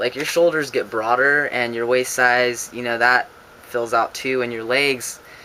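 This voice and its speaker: The intonation is fairly even at a moderate pace. Noticeable background noise sits behind the voice. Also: man. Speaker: vlogger. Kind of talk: casual vlog. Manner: hesitant, many fillers.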